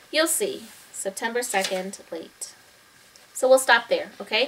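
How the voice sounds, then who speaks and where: A woman talks fairly slowly, her pitch varying in an ordinary way, while noticeable noise fills the background. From Taiwan. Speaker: fourth-grade teacher. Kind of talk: reading aloud to students; casual talk to students. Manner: hesitant with fillers.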